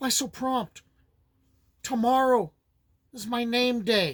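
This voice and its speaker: Using a put-on character voice at an extremely high pitch, a man speaks at a fairly slow pace. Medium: read story.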